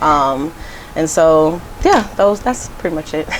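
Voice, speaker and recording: Over noticeable background noise, a woman talks fairly slowly with fairly even intonation and a fairly low pitch. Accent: American. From Arizona. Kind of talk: casual chat. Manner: casual, filler-heavy.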